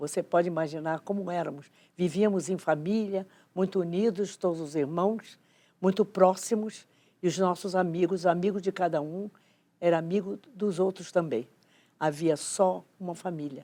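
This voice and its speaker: Her voice fairly low with a dark, mellow tone, a woman talks at a moderate pace with fairly even intonation. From Rio de Janeiro, Brazil. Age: 90s. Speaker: educator. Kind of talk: testimony.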